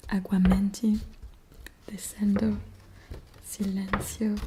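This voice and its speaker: Soft-spoken and at a very slow pace, a woman talks at a medium pitch with a monotone, flat intonation. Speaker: ASMR creator. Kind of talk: ASMR roleplay as shop seller. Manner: hesitant, many fillers.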